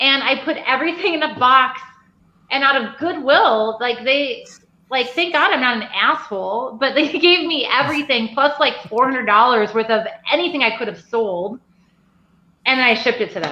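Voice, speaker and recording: A woman talks in a raised, projected voice at a high pitch. Her intonation is lively and her pace moderate. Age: 40s. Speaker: craft distillery owner. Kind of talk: casual chat. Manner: animated.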